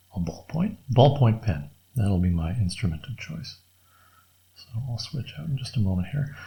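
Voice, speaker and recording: A soft-spoken, mumbling man, somewhat breathy, with a dark, mellow, relaxed tone, fairly low pitch, very wide pitch swings and a fairly slow pace. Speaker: artist drawing on camera. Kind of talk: casual drawing tutorial commentary. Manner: soft-spoken, mumbling quietly; relaxed, thinking aloud with fillers.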